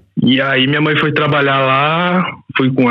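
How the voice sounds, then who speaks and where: A man talks at a medium pitch, very slowly, his intonation fairly even. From Brazil, Goiás. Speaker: podcast host, guest. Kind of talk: casual interview chat. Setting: remote recording before work.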